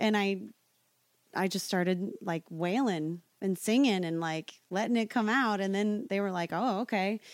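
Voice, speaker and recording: A woman's plain, everyday voice at medium pitch with an American accent, fairly slow pace and ordinary pitch variation. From Nebraska, US Midwest. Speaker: singer. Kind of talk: casual chat.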